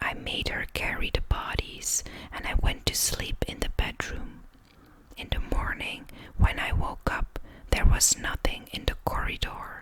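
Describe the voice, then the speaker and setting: Fairly slow whispering comes through noticeable background noise. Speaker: ASMR creator. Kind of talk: true crime story narration. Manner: whispered, soft-spoken.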